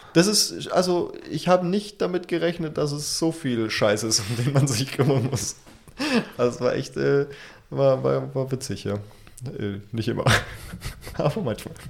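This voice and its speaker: A man with a medium-pitched voice speaks at a moderate pace with lively intonation, some vocal fry, and long, frequent pauses. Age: 20s. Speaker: podcast co-host. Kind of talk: casual chat.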